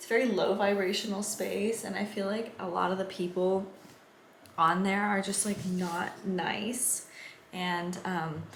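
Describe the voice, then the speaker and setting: A woman's medium-pitched voice with an American accent, moderate pace and fairly even intonation, with noticeable background noise. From San Diego, California. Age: 20s. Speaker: surfer and vlogger. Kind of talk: casual talk to camera.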